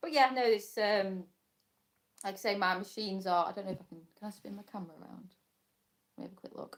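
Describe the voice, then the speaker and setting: A woman with a British accent talks at a very fast pace and medium pitch. Her loudness swings widely, and she takes long, frequent pauses. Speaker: crafter and small embroidery business owner. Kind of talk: casual live stream chat. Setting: live stream from home workshop. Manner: chatty, halting with fillers.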